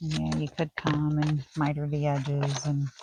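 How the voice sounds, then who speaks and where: Soft-spoken and somewhat breathy, a woman with a very deep, low pitch and a dark, mellow tone speaks at a very slow pace in a dry, close sound with no echo. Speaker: crafting video maker. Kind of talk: craft tutorial.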